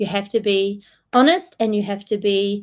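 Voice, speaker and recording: A woman with a strong New Zealand accent talks at a moderate pace and a medium pitch. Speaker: solution engineer. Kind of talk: webinar presentation Q&A.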